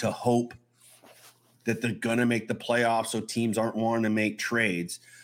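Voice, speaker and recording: A man's medium-pitched voice comes through on a very clean recording over a silent background. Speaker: podcast host. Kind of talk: casual sports podcast banter. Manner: animated, jokey.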